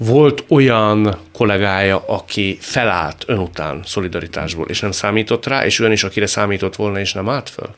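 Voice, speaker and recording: A plain, everyday voice at a moderate pace, with ordinary pitch variation and hardly any pauses. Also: man, fairly low pitch for a man. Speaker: radio talk show host. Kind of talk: interview. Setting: radio studio. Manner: formal.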